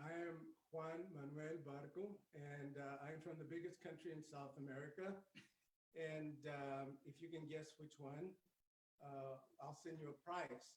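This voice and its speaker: Somewhat breathy, fairly slow speech with monotone, flat intonation. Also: man, fairly high pitch for a man. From Texas, migrant family raised across US. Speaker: mariachi musician. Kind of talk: live performance banter. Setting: video call.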